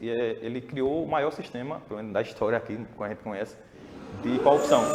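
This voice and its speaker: Over noticeable background noise, a man with a medium-pitched voice speaks very fast with fairly even intonation. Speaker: podcast guest. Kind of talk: casual political discussion.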